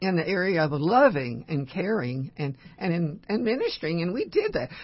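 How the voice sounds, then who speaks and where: A woman speaks at a fairly slow pace in a somewhat breathy, fairly low voice. Her pitch swings very widely. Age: 80s+. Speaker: long-time radio host. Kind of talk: radio talk show. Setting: studio.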